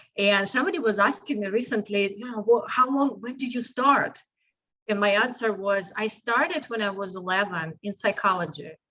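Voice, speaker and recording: A woman speaks at a moderate pace with a Russian accent. Her pitch is fairly high, with ordinary variation. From Russia, Saint Petersburg. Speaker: health and fitness coach. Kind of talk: interview testimony.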